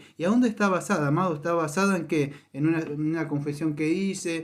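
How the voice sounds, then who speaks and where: On a very clean recording with a silent background, a man talks at a very fast pace with a fairly high pitch. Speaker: pastor. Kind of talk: sermon.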